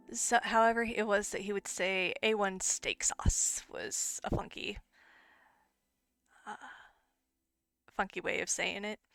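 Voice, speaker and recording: Intonation is fairly even, and the sound is dry and close with no echo. The pace is fairly slow, with long, frequent pauses. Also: woman, fairly high pitch for a woman. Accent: Michigan. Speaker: streamer. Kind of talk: casual chat. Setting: live stream. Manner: halting.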